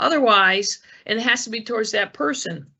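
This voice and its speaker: Lively intonation and vocal fry mark this woman's voice. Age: 60s. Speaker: police detective, elder fraud investigator. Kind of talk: educational presentation. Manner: casual, hesitant with many fillers.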